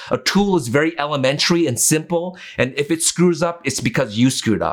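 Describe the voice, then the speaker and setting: With a Canadian accent and a plain, everyday voice, a man talks at a moderate pace using lively intonation. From Canada, East Vancouver. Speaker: photographer. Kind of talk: casual chat.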